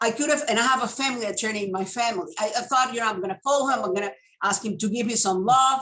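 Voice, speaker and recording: A woman speaks at a very fast pace in a Spanish accent. Her fairly high voice shows ordinary pitch variation. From Venezuela. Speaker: legal services sales representative. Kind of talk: interview.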